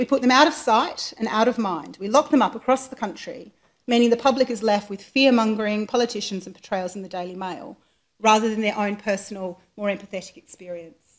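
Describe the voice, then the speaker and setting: Speaking at a fairly quick pace, a woman with an Australian accent has a fairly high pitch and ordinary pitch variation. Her loudness swings widely. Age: 40s. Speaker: charity chief executive, lawyer. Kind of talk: public lecture. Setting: lecture hall with live audience.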